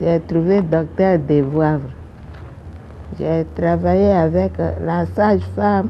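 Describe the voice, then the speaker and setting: A woman speaks at a very slow pace with a very deep, low pitch and very wide pitch swings. Long, frequent pauses and audible room echo fill the clip. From Ivory Coast, Grand-Lahou region. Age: 80s+. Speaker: retired nurse and midwife. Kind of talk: interview testimony. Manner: halting.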